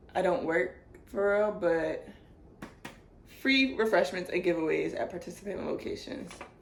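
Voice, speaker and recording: Room echo is audible as a woman speaks. Her pitch is medium and her pace moderate. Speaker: book haul vlogger. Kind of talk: casual chat.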